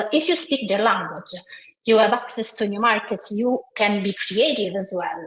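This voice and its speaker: A woman with an Italian accent, medium in pitch, at a fairly slow pace with ordinary pitch variation. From Italy. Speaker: multilingual SEO consultant. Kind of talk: webinar presentation. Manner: hesitant, many fillers and restarts.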